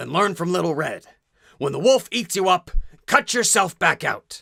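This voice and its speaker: In a put-on character voice, a man sounds raspy and high-pitched, with lively intonation, a moderate pace and a dry, close sound with no echo. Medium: solo performance.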